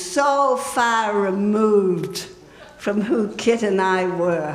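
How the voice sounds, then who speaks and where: Female speech amid noticeable background noise, with audible echo from the room. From New Zealand. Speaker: memorial speaker, old friend. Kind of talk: memorial tribute, personal reminiscence. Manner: animated, conversational.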